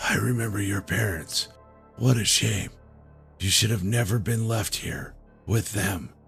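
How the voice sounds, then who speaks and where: A raspy, put-on character voice speaks at a moderate pace over clear music in the background. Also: man, fairly low pitch for a man. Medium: read story. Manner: cynical, bitterly joking.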